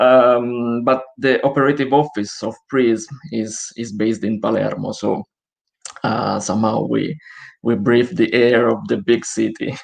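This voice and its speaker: A man with an Italian accent talks at a fairly slow pace and medium pitch, showing ordinary pitch variation. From Italy. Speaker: social enterprise director. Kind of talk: live online interview. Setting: video call from home.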